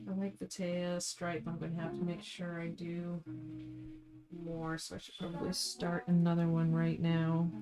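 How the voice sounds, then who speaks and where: Music plays in the background. A woman talks at a moderate pace in a fairly low pitch with ordinary pitch variation. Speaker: artist streaming a drawing session. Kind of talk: casual live stream chat while drawing. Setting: live stream.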